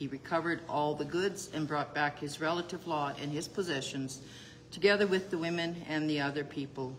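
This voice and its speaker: A woman speaks at a fairly quick pace with a very deep, low pitch. Her intonation is fairly even, and there is light background noise. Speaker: congregation member. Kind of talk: reading aloud. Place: home room. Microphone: phone near.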